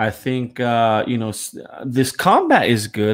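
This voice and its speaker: Recorded very cleanly against a silent background, a man has a normal speaking voice at medium pitch with ordinary pitch variation. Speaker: panelist. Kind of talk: casual panel chat about gaming news.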